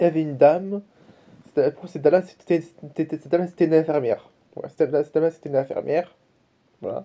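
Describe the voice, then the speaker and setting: A man speaks at a fairly high pitch in a dark, mellow tone. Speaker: vlogger. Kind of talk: casual vlog monologue. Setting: talking to camera. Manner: fast; repetitive, halting.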